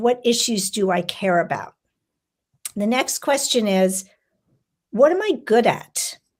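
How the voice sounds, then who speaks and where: A woman speaks in a normal speaking voice, fairly high in pitch. Her pace is fairly slow and her intonation lively. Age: 60s. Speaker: humane education institute president. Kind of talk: podcast interview.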